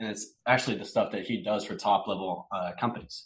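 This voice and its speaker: With a bright, sharp tone, a man talks at a fairly quick pace in a fairly low pitch. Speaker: personal branding director. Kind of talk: casual interview.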